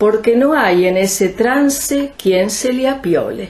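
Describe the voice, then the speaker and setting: A woman speaks very slowly in a Rioplatense accent, with ordinary pitch variation. Noticeable background noise runs behind her. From Argentina. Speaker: writer and poet. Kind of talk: literary reading in lunfardo slang.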